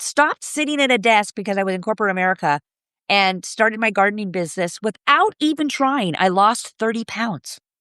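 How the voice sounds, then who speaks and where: Against a quiet background, a woman speaks at a fairly quick pace in a bright, sharp tone with very wide pitch swings. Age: 60s. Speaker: gardening business owner and author. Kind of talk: podcast interview. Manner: animated.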